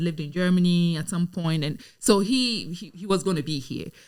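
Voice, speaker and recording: Speaking at a fairly quick pace with a Ghanaian accent, a woman has a fairly low pitch and ordinary pitch variation. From Ghana (Accra). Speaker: lawyer and community advocate. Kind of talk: podcast interview.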